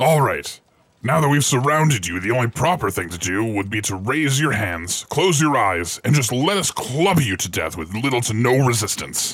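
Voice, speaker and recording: A put-on character voice at a moderate pace. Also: man, medium pitch for a man. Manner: gruff but chatty, easily distracted.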